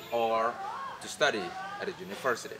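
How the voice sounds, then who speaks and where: Over noticeable background noise and audible room echo, a man with an Indonesian accent talks at a moderate pace. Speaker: English tutor. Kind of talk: tutorial.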